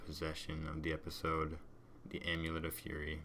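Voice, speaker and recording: Over audible room echo, a man's very deep, low voice comes through with a bright, sharp tone. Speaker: gaming video creator. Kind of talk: gameplay commentary. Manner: monotone.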